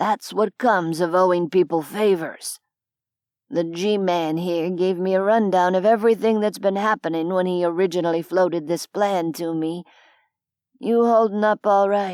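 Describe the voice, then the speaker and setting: A raspy, put-on character voice at a moderate pace with fairly even intonation. The sound is dry and close, with no echo. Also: woman, medium pitch for a woman. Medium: read story. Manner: dry, blunt.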